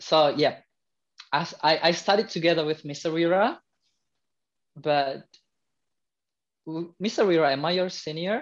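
A man speaks at a fairly slow pace and a fairly high pitch with ordinary pitch variation. He leaves long, frequent pauses.

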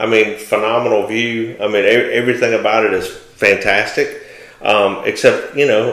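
Audible room echo hangs around a man talking at a moderate pace. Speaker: real estate agent co-host. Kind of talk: casual conversational commentary. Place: office.

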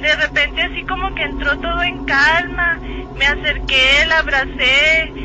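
The speech moves at a fairly slow pace. The sound is dry with no echo, and crowd noise fills the background. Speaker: caller. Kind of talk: phone-in story telling. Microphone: phone line.

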